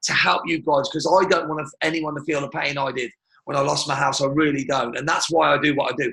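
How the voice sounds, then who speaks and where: Speaking very fast in a British accent, this man has a fairly high pitch. His tone is bright and sharp. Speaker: martial arts business coach. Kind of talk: webinar presentation. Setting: live webinar. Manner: animated.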